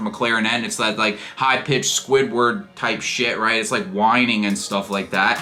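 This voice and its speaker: There is noticeable background noise in this clip. Through it, a man speaks at a moderate pace. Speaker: men's self-improvement YouTuber. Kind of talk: casual talk to camera.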